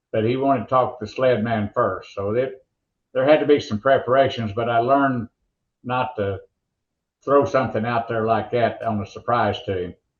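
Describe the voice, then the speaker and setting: With an Oklahoma accent, a man speaks in a medium pitch with fairly even intonation. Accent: Oklahoma drawl. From rural Oklahoma. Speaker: motorsports announcer. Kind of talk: interview storytelling.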